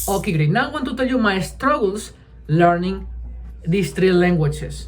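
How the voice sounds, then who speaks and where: A man speaks with a Spanish accent, with audible room echo and music in the background. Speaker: language learner vlogger. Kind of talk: casual vlog monologue. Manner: halting, with fillers and restarts.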